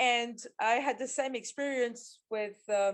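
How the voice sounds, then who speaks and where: The speaker is a woman. She talks with a French accent. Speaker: agile coach. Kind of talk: interview. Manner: halting.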